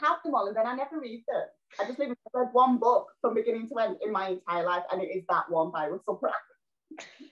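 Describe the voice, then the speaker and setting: Her voice is high and her intonation lively. The woman talks at a fairly quick pace with hardly any pauses. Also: quiet background. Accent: Yorkshire. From northern England, South Yorkshire (Doncaster); northern England. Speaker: actress and TV presenter; actress, TV presenter. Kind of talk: casual interview. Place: home room. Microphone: video call.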